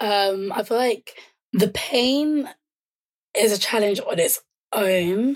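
Speaking very slowly in a London accent, a woman with a fairly high pitch leaves long, frequent pauses. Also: ordinary pitch variation. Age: 20s. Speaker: charity founder and sickle cell advocate. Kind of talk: casual chat.

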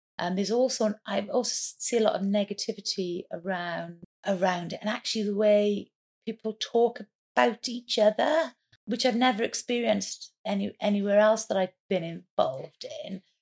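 A woman with a Welsh accent at medium pitch and moderate pace, with ordinary pitch variation and a dry, close sound with no echo. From Wales. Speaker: entrepreneur. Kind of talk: interview.

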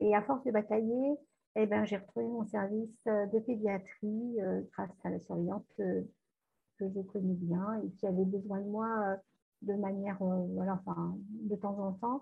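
At a fairly slow pace, a woman of medium pitch speaks with fairly even intonation and long, frequent pauses. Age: 50s. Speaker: nurse and hypnotherapist. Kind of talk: testimony.

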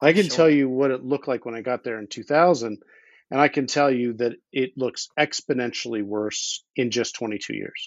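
A normal speaking voice comes through with an American accent. The pace is moderate and the pitch variation ordinary. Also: man, medium pitch for a man. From US Northeast (Philadelphia). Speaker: underwater explorer and attorney. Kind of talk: casual interview.

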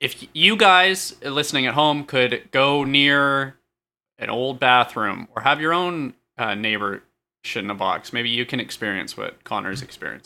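A man's bright, sharp tone sits at a medium pitch. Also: very clean recording, silent background. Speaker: comedy podcast co-host. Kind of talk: improvised comedy chat.

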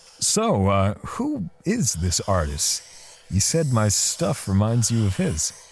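A man speaks slowly in a put-on character voice, fairly low-pitched with a slightly husky edge and very wide pitch swings.

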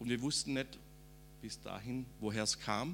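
A man's voice has a bright, sharp tone with vocal fry. He speaks at a fairly slow pace. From Swabia, southern Germany (Rems valley). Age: 50s. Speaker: preacher. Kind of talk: testimony.

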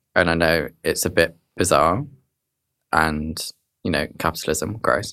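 This man has a very deep, low voice with a bright, sharp tone, speaking at a fairly slow pace with ordinary pitch variation and long, frequent pauses. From southern England, Dorset. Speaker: writer and activist. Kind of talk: interview conversation.

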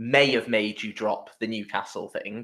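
In a very clean recording with a silent background, a man with an English accent speaks at a moderate pace. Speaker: podcast host. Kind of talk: casual chat. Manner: animated.

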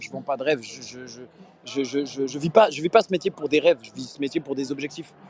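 Dry and close with no echo but with noticeable background noise, a man speaks fairly quickly in an animated tone at fairly high pitch. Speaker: comedian and radio host. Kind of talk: casual interview. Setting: outdoors on a street. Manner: animated, repeats words.

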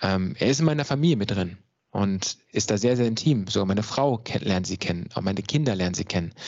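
Lively intonation from a man with a fairly low voice. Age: 30s. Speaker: mental coach. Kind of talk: interview.

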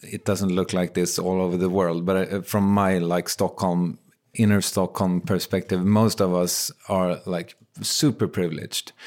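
A man speaks at a fairly slow pace with a Swedish accent, his pitch fairly low, on a very clean recording with a silent background. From Sweden. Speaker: podcaster. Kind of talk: casual interview chat.

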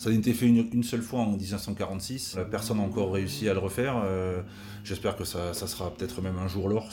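Audible room echo surrounds a man talking fairly quickly in a fairly low pitch with fairly even intonation. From southern France, Tarn. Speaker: retired basketball player. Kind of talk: interview. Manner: halting.

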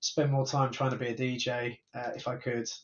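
At a fairly quick pace, a man speaks in an unremarkable speaking voice at a medium pitch. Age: 50s. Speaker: tech company founder and CEO. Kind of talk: interview.

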